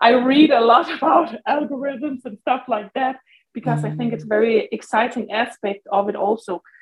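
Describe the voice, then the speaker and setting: A woman's plain, everyday voice, fairly high in pitch, with ordinary pitch variation and a moderate pace. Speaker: nail artist. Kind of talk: interview, casual chat.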